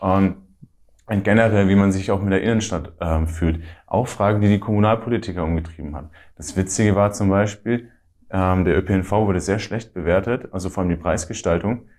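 Using an ordinary speaking voice, a man talks at a fairly quick pace with a fairly low pitch and fairly even intonation. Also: very clean recording, silent background. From Middle Franconia, Bavaria (Ansbach). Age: 20s. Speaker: student and youth party activist. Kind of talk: interview.

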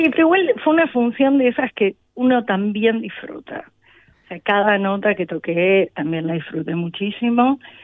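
Here a woman talks at a moderate pace and a medium pitch. Her pitch swings very widely. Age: young. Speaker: percussionist. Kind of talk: interview. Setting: backstage.

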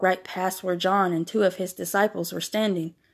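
An unforced reading voice moves along with fairly even intonation.

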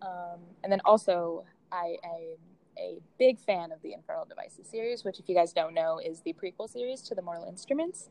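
A woman with an American accent speaks at a fairly quick pace, her pitch in the medium range. Her tone is dark and mellow, with lively intonation and big swings in loudness. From Boston, US. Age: 20s. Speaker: podcast host, university student. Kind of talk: casual chat.

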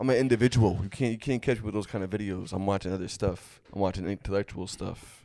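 A man with an American accent, fairly low in pitch, very fast and fairly even in intonation. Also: hardly any pauses. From Connecticut, US. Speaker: comedian. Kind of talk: casual chat. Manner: halting.

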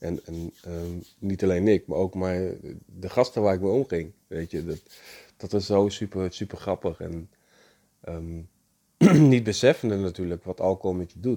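At a moderate pace, a man speaks with a very deep, low pitch and a dark, mellow tone, varying his pitch in an ordinary way and leaving long, frequent pauses. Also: big swings in loudness. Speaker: podcast host on spirituality and personal growth. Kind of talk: personal monologue. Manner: halting, many fillers.

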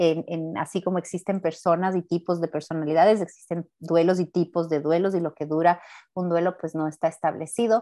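Fairly low in pitch, a woman's dark, mellow voice carries fairly even intonation in a dry, close sound with no echo. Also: fairly quick pace. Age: 30s. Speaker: podcast host and therapist. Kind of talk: casual chat.

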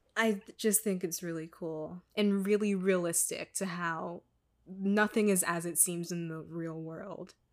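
On a very clean recording with a silent background, a woman with an American accent speaks fairly slowly at a fairly low pitch. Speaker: podcast host, university student. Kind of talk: casual chat. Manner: animated.

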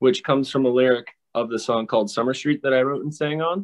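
A man with a normal speaking voice, medium pitch and ordinary pitch variation, in a dry, close sound with no echo. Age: 30s. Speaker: guitarist. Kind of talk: interview.

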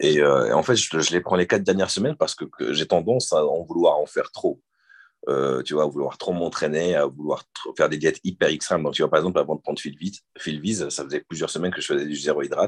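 A man talks at a very fast pace, with a dry, close sound and no echo. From Morocco (French family, born in Marseille). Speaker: bodybuilder. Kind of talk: casual interview.

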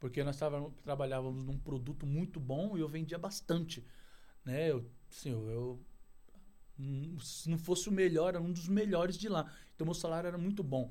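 At a moderate pace, a man speaks with a dark, mellow tone and a fairly high pitch. His pitch varies in an ordinary way, and audible room echo surrounds him. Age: 40s. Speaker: outsourcing business owner. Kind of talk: casual interview. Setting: studio.

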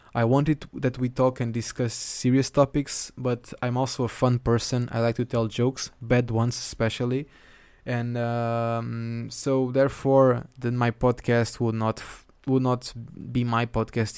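At a moderate pace, a man with a Portuguese accent speaks in a monotone, flat intonation at medium pitch. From southern Portugal. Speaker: photographer. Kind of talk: solo podcast monologue. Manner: casual, laughs often.

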